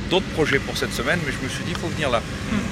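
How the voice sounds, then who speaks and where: A man talks as noticeable background noise carries on behind him. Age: 70s. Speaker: dairy farmer. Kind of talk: interview.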